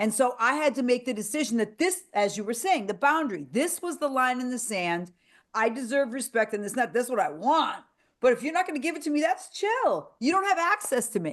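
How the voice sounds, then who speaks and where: A woman with a high pitch, very wide pitch swings, an animated tone and a fairly quick pace. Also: quiet background. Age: 60s. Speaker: podcast host. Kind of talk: casual chat.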